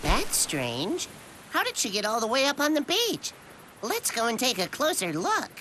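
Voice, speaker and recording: Cartoonish character voice, high-pitched, at a moderate pace over clear background noise. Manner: eager, caring.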